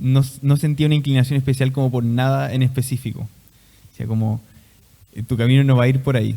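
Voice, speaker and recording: A man speaks at a medium pitch with fairly even intonation. His tone is dark and mellow. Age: 20s. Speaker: seminarian. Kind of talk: testimony.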